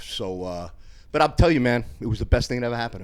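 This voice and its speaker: A man speaks in a New York accent with ordinary pitch variation. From New York, Westchester/Bronx. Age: 60s. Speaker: former bouncer and personal trainer. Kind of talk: casual chat. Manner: animated.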